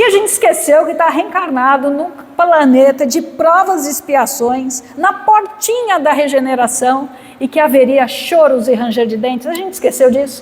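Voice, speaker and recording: The intonation is lively, and the pace is moderate. Noticeable background noise can be heard. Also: woman, high pitch for a woman. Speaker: spiritist lecturer, psychologist. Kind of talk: spiritual lecture.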